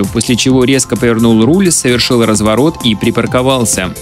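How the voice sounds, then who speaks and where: Clear music plays in the background while a man speaks at a moderate pace. The sound is dry with no echo. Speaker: radio news announcer. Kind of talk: radio news reading. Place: studio. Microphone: studio mic.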